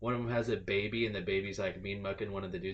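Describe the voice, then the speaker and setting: A man talks very fast with a Californian accent. His voice is somewhat breathy, and his intonation stays fairly even. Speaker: podcast host. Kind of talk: casual chat.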